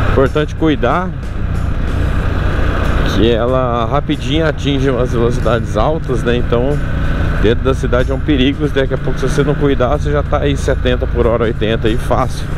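Against music in the background, a man speaks at a moderate pace with long, frequent pauses in a dry sound with no echo. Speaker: motorcycle reviewer. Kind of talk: riding commentary. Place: motorbike.

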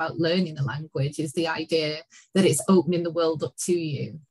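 Fairly low-pitched, somewhat breathy woman at a fairly quick pace, with ordinary pitch variation and a quiet background. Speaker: educational publisher. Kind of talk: webinar conversation. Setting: video call. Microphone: webcam.

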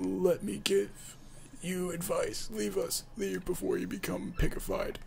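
Over clear background noise, a man performs a put-on character voice. His pace is fairly slow. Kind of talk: pompous, theatrical. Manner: warning, ominous.

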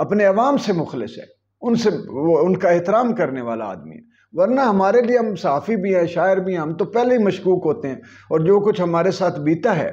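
This man's pitch is high, with lively intonation. He speaks at a fairly slow pace. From Pakistan. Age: 50s. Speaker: political commentator and poet; political commentator, poet. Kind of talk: opinion monologue. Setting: video channel. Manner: animated. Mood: earnest, pained. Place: home room. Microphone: lapel.

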